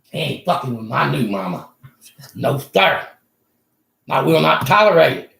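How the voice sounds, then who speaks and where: A man with an American accent speaks at a moderate pace in a bright, sharp tone, his medium pitch swinging very widely, with vocal fry and long, frequent pauses. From Texas. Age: 70s. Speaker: channel owner interviewing a neighbor. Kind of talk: casual chat. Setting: at home.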